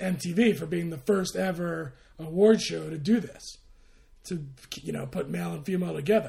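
A man speaks at a moderate pace. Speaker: podcast co-host. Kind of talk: casual chat.

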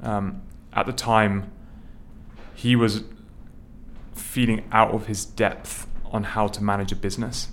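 A man speaks at a fairly slow pace in a fairly low voice, with long, frequent pauses and a flat, monotone delivery. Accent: southern English. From England, near London. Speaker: startup founder and CEO. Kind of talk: interview conversation.

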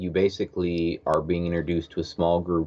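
A man talks with a very deep, low pitch. He has a Canadian accent. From Canada, Alberta (Edmonton). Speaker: schoolteacher. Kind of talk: casual chat.

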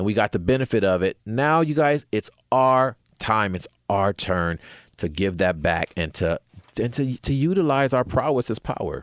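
A man at medium pitch with an American accent, very wide pitch swings and a moderate pace, dry and close with no echo, on a very clean recording with a silent background. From Compton, California. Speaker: podcast host. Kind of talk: casual political chat.

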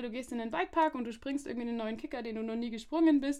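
A woman speaks at a very fast pace with a high pitch and ordinary pitch variation. The recording is very clean, with a silent background. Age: 20s. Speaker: social pedagogue and master's student. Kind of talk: casual chat.

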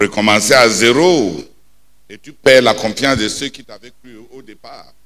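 With a bright, sharp, animated tone, a man talks fairly slowly, showing ordinary pitch variation and big swings in loudness. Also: medium pitch for a man. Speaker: preacher. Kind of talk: sermon. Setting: prayer night, church. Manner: animated, emphatic, preaching with repetition and call-and-response.

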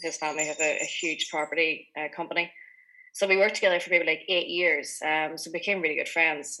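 A woman with a Donegal accent speaks fairly quickly in a monotone, flat intonation. Her tone is bright and sharp, and her pitch is very deep and low. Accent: Donegal Irish. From Inishowen, County Donegal, Ireland. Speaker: drinks company founder. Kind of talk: radio interview. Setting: video call. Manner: casual, with many likes and ums.

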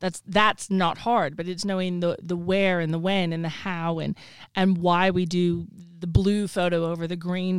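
A woman speaks at a moderate pace with a Texan accent, her fairly low pitch held in a flat monotone. The recording is very clean, with a silent background. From Texas. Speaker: social media consultant. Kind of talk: casual interview. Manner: confident, opinionated.

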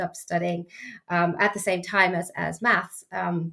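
At a moderate pace, a woman speaks with a fairly low pitch, a fairly bright tone, vocal fry and little pitch movement.

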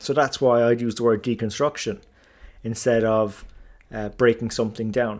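Over a silent background in a very clean recording, a man talks at a moderate pace with a medium pitch and flat, monotone intonation. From Ireland. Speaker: finance podcast host. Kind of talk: solo podcast monologue. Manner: casual with frequent filler words.

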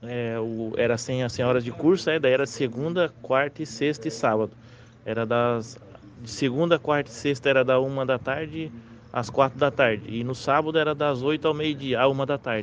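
With an unremarkable speaking voice, a man talks at a moderate pace in a medium pitch and fairly even intonation. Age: 30s. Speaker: underground welder. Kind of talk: interview.

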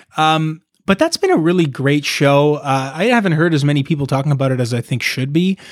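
A man with a normal speaking voice, fairly high in pitch, at a fairly quick pace with ordinary pitch variation. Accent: Canadian. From Canada, Toronto area. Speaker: musician. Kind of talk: casual chat.

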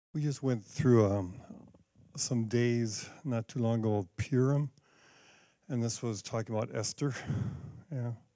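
A man talks with a dark, mellow tone. He leaves long, frequent pauses. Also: medium pitch for a man, ordinary pitch variation, fairly slow pace. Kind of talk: fervent prayer. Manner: earnest, urgent, exhorting.

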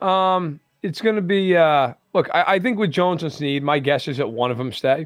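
A man speaks in a normal speaking voice, fairly high in pitch. His intonation is lively and his pace moderate. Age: 30s. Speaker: sports journalist. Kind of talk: radio interview.

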